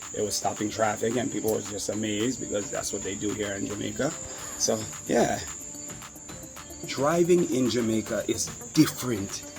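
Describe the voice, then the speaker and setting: There's music in the background and audible room echo as a man with an American accent speaks at a moderate pace. He uses ordinary pitch variation, with long, frequent pauses. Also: medium pitch for a man. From US South, Florida. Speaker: travel vlogger. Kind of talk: casual vlog talk to camera.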